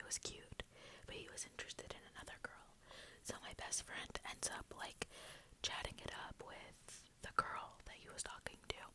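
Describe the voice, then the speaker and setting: Someone whispers at a fairly slow pace. Noticeable noise runs in the background. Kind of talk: ASMR storytime, casual talk to camera. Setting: filmed in a bedroom with a basic built-in microphone. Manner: whispered, soft-spoken.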